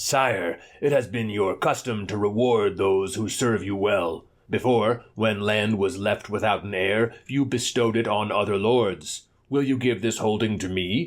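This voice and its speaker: Using a put-on character voice, a man talks fairly low and at a moderate pace with fairly even intonation on a very clean recording with a silent background. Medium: read story.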